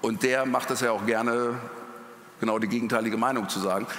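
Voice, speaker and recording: Talking at a very fast pace, a man is heard with audible room echo and noticeable background noise. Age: 50s. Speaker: journalist. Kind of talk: panel discussion. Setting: stage with audience.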